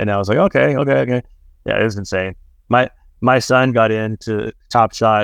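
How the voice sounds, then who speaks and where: In a normal speaking voice with an American accent, the speaker uses ordinary pitch variation, the sound dry and close with no echo over a quiet background. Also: man, medium pitch for a man. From Texas. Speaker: podcast host. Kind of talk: casual chat. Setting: remote call. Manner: fast, filler-heavy.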